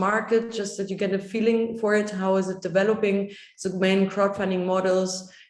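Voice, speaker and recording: With audible room echo, a woman speaks at medium pitch in a monotone, flat way. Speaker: workshop trainer. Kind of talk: workshop presentation. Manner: fast.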